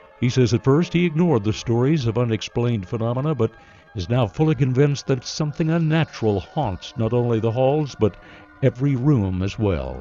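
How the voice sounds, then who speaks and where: Music plays in the background as a man with a medium pitch talks at a fairly quick pace with lively intonation. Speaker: radio news reporter. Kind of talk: radio news feature narration.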